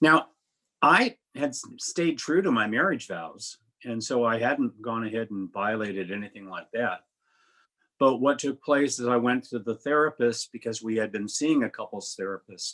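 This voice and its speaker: Medium in pitch, a man's voice has a bright, sharp tone and ordinary pitch variation. He speaks at a moderate pace over a quiet background. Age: 70s. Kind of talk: personal testimony in panel interview.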